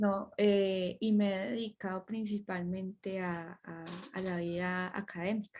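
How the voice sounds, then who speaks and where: Monotone, flat intonation at a fairly slow pace, in a very clean recording with a silent background. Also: woman, medium pitch for a woman. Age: 20s. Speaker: lawyer and academic, podcast guest. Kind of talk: casual interview chat.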